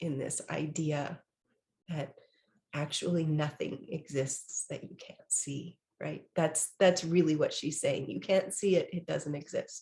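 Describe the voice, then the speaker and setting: With a dark, mellow tone, a woman speaks in a fairly low, somewhat breathy voice. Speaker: podcaster. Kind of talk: casual podcast talk.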